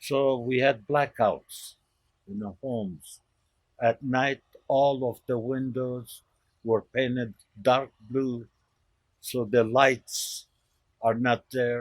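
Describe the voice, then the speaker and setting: At a very slow pace with long, frequent pauses, a man speaks in a monotone, flat intonation. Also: medium pitch for a man. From Lebanon. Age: 90s. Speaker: elderly immigrant storyteller. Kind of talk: personal life story interview.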